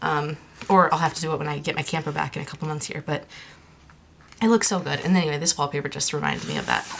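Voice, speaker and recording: A woman with a very deep, low pitch speaks very fast but with long, frequent pauses amid noticeable background noise. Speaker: craft vlogger. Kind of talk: casual show-and-tell vlog. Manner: animated.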